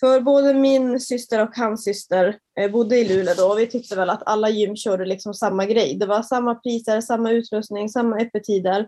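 At a moderate pace with hardly any pauses, an ordinary speaking voice holds fairly even intonation and very even loudness. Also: woman, fairly high pitch for a woman. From northern Sweden, Kiruna area. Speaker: fitness entrepreneur and personal trainer. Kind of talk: casual interview.

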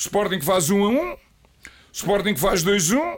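High-pitched for a man, this male voice has lively intonation. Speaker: retired football coach. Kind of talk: casual interview storytelling. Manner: animated.

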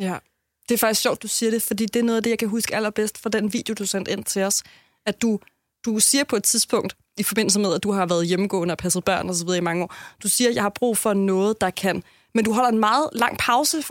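Very fast speech with ordinary pitch variation comes through a dry, close sound with no echo on a very clean recording with a silent background. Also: woman, fairly high pitch for a woman. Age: 30s. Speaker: radio host. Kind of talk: podcast narration and casual chat.

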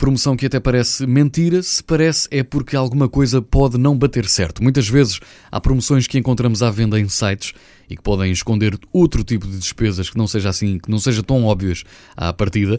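Speaking with a European Portuguese accent, a man has a dark, mellow tone and lively intonation. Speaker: radio presenter. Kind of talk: news segment.

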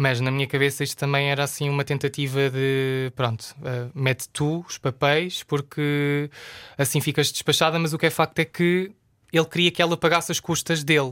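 Someone with a European Portuguese accent talks at a moderate pace with fairly even intonation, the sound dry and close with no echo on a very clean recording with a silent background. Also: man, fairly high pitch for a man. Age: 20s. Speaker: journalist. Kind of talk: casual chat.

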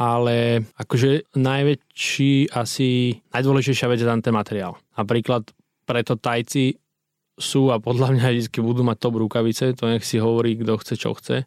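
On a very clean recording with a silent background and a dry, close sound with no echo, a man speaks at a moderate pace in a medium-pitched monotone, his intonation flat and his loudness very even. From western Slovakia, Myjava region. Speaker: entrepreneur. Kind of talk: interview. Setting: studio.

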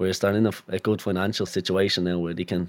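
In a Dublin accent, a man with a very deep, low pitch speaks very fast in a monotone, flat delivery. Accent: Dublin Irish. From Dublin North Inner City, Ireland. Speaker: footballer. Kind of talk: casual interview chat.

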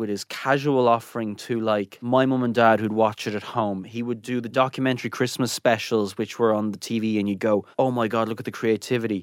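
With an Irish accent, a man speaks at medium pitch and a fairly quick pace in a very clean recording with a silent background. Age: 30s. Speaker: chef. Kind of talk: interview.

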